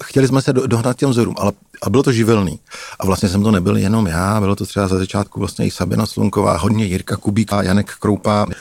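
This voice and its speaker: With an unremarkable speaking voice, a man speaks at a fairly quick pace and fairly low pitch, with ordinary pitch variation and a dry, close sound with no echo. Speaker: investigative journalist. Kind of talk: storytelling narration.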